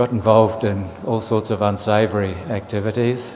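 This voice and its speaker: A man with a fairly low voice talks over noticeable background noise. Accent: New Zealand. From New Zealand, Auckland. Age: 60s. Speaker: Buddhist monk. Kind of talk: dharma talk. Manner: halting, with fillers and repetitions.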